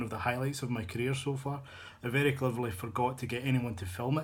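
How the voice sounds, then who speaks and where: Audible room echo surrounds a man's somewhat breathy, medium-pitched voice with fairly even intonation. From Scotland, Glasgow. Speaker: novelist, fan fiction author. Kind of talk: casual video blog. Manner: hesitant, many fillers and repetitions.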